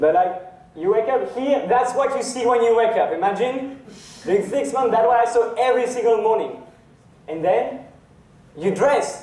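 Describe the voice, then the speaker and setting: With a French accent, a man speaks at a moderate pace and an extremely high pitch, with ordinary pitch variation and very even loudness against noticeable background noise. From France. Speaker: university student, sailor. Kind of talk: live inspirational talk. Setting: lecture hall.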